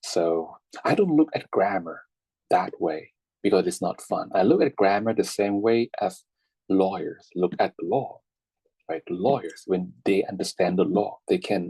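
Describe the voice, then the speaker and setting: A man speaks at a fairly slow pace with a Thai accent. The sound is dry and close with no echo. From Thailand. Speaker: English teacher. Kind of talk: online class lecture. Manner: halting, many fillers and repetitions.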